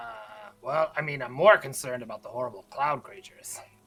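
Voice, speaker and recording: Someone puts on a raspy character voice at a low-to-middle pitch, rattling along at a very fast pace. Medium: actual play. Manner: stammering, hesitant.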